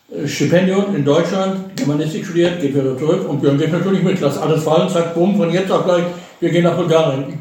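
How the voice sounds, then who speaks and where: A man's high-pitched voice with ordinary pitch variation, noticeable background noise and audible room echo. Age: 60s. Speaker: retiree, father of a host. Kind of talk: casual chat. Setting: visiting hosts in Bulgaria.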